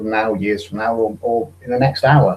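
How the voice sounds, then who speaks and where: With a British accent, a man speaks at a moderate pace in a fairly low-pitched voice. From Britain. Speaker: atheist guest. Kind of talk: casual debate on a video call. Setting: online video hangout. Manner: halting, hesitant.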